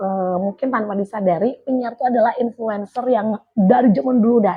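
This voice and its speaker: A woman talks at a fairly quick pace in a somewhat breathy, animated tone, her pitch moving in an ordinary way. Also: fairly high pitch for a woman. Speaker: radio announcer. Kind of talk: interview. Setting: radio station.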